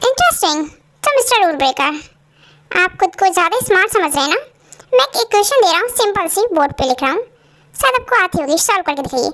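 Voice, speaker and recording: A put-on character voice with very wide pitch swings. It moves at a very fast pace. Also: woman, extremely high pitch for a woman. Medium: audio drama. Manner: calm, composed.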